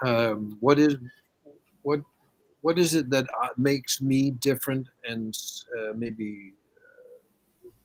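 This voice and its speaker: Speaking at a very slow pace, a man leaves long, frequent pauses. His medium pitch shows ordinary variation. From Denmark, Copenhagen. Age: 70s. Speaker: opera coach and pianist. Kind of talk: interview conversation. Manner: halting.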